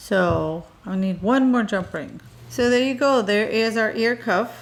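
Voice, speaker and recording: A woman speaks in a Minnesotan accent. Her pace is very slow. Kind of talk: casual chat; tutorial. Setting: voiceover recorded separately. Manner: casual, hesitant fillers.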